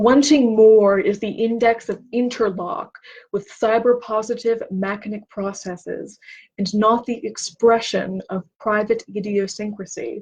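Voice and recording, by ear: At a fairly slow pace, the voice has a slightly mellow tone, a slightly husky edge and fairly even intonation. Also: woman, medium pitch for a woman.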